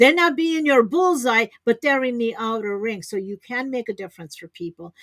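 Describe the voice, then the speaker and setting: Her fairly high voice swings very widely in pitch, and the woman's recording sounds dry and close with no echo. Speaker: business coach. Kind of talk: webinar teaching. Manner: energetic.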